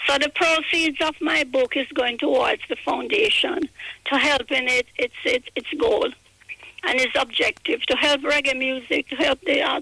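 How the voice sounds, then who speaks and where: A woman's raised, projected voice comes through high in pitch and very even in loudness, dry and close with no echo, over noticeable background noise. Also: ordinary pitch variation, moderate pace. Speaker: reggae record label veteran and author. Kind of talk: interview. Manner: halting.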